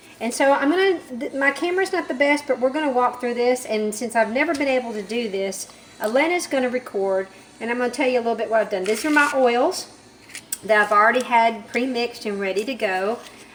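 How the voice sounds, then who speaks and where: A woman speaks at a very fast pace with lively intonation and a high pitch. Noticeable background noise runs underneath. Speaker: soap maker. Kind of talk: tutorial. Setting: home workshop, child filming.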